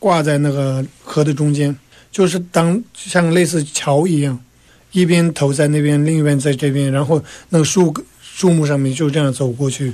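A man speaks with a Tibetan accent at a fairly high pitch. His pace is moderate and his intonation fairly even. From Tibet, Lhasa. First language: Tibetan (speaking Chinese). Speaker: exile government civil servant. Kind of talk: radio interview.

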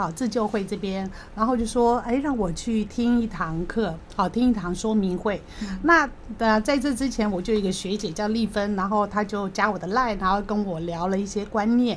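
With noticeable background noise, a woman speaks at a moderate pace, at medium pitch, with ordinary pitch variation. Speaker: debtor sharing her story. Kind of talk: testimony.

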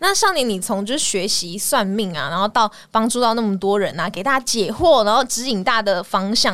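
Fairly quick and with hardly any pauses, a woman speaks at a fairly high pitch with lively intonation. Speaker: podcast host. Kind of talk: casual chat.

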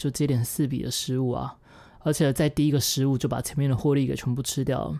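A woman speaks very fast in a very deep, low pitch with a dark, mellow tone. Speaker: podcaster and former YouTuber, day trader. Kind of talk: personal diary monologue.

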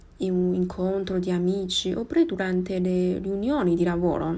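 A woman's medium-pitched voice with a Chinese accent and a dark, mellow tone. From Taiwan. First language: Mandarin Chinese (speaking Italian). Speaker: podcaster. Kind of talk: personal monologue podcast. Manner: halting.

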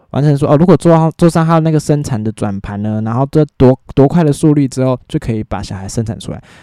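The speaker talks very fast with lively intonation and hardly any pauses, in a dark, mellow tone. The sound is dry and close with no echo, and the background is quiet. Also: man, fairly high pitch for a man. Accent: Taiwanese. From Taiwan, New Taipei. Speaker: solo podcast host. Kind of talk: casual monologue.

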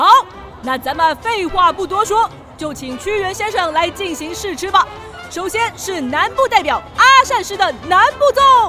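With faint crowd noise and faint music behind her, a woman does a put-on character voice at an extremely high pitch, her tone bright and sharp, at a moderate pace. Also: lively intonation.

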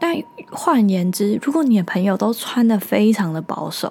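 A somewhat breathy woman at a moderate pace, with very wide pitch swings. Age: 20s. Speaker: podcast host. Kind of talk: solo monologue.

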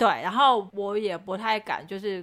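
With a bright, sharp tone, a woman speaks at medium pitch and a moderate pace, with ordinary pitch variation. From Taiwan, Chiayi. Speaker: podcast co-host, model. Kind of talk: casual chat. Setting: studio.

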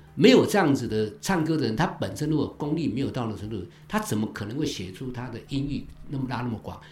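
The voice moves at a very fast pace with lively intonation and audible room echo. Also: man, medium pitch for a man. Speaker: songwriter. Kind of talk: casual interview chat. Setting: on location recording.

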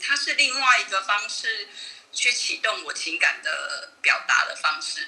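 At a fairly slow pace, a woman talks while noticeable background noise carries on. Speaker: amateur voice actor and charity administrator. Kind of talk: interview.

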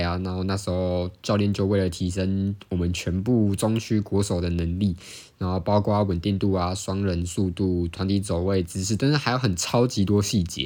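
Speaking with hardly any pauses, a man talks in a fairly low pitch on a very clean recording with a silent background. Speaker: student competitive sport stacker and podcaster. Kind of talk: casual solo podcast monologue. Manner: fast.

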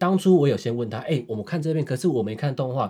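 A man's very fast, somewhat breathy delivery, dark and mellow in tone, with very wide pitch swings. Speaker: podcast co-host. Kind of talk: casual chat.

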